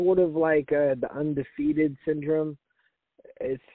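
This man speaks in an animated tone at a moderate pace. His pitch sits fairly high. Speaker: MMA podcast host. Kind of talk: casual chat about MMA, profane. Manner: animated, casual, profane.

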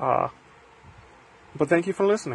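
A man speaks. His voice is somewhat breathy. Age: 20s. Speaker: solo podcaster. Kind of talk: poetic reflection; personal monologue. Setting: in bed. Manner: halting.

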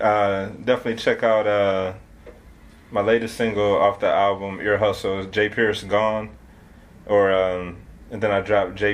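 With an American accent, a man talks at a fairly low pitch and a moderate pace in a monotone, flat intonation. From Detroit, Michigan. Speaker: rapper. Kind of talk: casual interview.

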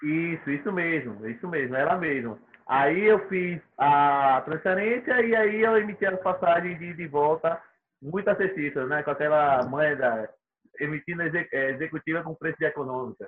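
A plain, everyday voice from a man, fairly high in pitch, with lively intonation and a moderate pace. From Sergipe, Brazil. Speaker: miles reseller and former course student. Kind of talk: casual interview chat.

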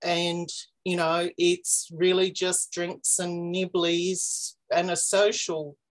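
A woman with an Australian accent, fairly low pitch and very slow pace against a quiet background. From Australia, Victoria. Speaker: magazine editor and genealogy enthusiast. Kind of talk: casual interview.

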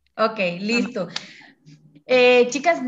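Speaking at a fairly slow pace, a woman with a Costa Rican accent has a fairly high pitch. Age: 30s. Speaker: podcast host and mother. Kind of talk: casual chat. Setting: video call.

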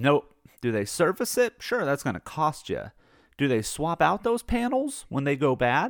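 Recorded very cleanly against a silent background, a man with an American accent speaks at a moderate pace in a dry, close sound with no echo. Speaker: podcast host giving a rant. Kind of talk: angry rant about solar power and utility companies, with explainer asides. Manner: explanatory and informal, with jokes and some hesitations.

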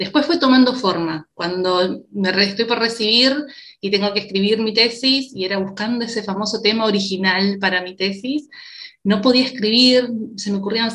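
Speaking at a moderate pace, a woman has an unremarkable speaking voice, a fairly high pitch and ordinary pitch variation. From Uruguay. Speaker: psychologist. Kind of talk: interview conversation.

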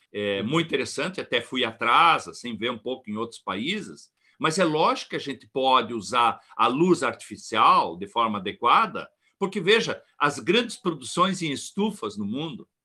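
A man with a bright, sharp tone and a fairly high pitch swings very widely in pitch. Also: moderate pace. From southern Brazil, rural Rio Grande do Sul. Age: 60s. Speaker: plant physiology professor and consultant. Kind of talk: expert interview on a livestream. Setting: online livestream.

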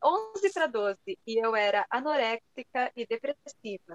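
With a São Paulo accent, a woman speaks at a high pitch with very wide pitch swings, in a dry, close sound with no echo. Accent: Brazilian Portuguese, Paulista. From Brazil, São Paulo. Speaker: writer and teacher. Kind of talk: casual interview.

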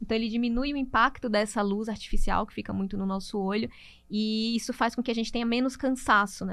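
A normal speaking voice with ordinary pitch variation at a fairly quick pace, on a very clean recording with a silent background. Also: woman. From Brazil, Natal, Rio Grande do Norte. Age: 30s. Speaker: nutritionist. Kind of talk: interview.

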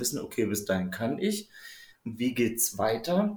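A man's medium-pitched voice with very wide swings in pitch. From Saxony-Anhalt, Harz region. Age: 30s. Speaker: coaching client. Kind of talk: casual interview.

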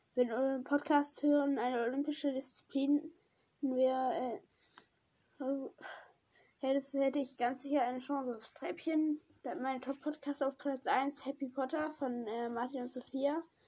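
A woman speaks in a high voice with a dark, mellow tone. Her pace is fairly slow, her intonation fairly even, and she leaves long, frequent pauses. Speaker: podcaster. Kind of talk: reading aloud. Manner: halting.

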